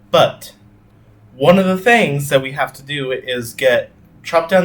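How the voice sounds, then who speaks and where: A man talks with a fairly high pitch and lively intonation. He keeps a fairly slow pace. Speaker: gaming YouTuber. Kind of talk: gameplay commentary. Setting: home recording with webcam. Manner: loud; casual, filler-heavy.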